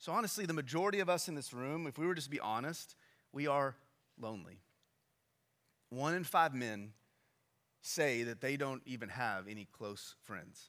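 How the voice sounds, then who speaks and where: With a bright, sharp tone and fairly high pitch, a man talks at a moderate pace using lively intonation and long, frequent pauses. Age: 30s. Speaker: pastor. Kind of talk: sermon. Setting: church. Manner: halting.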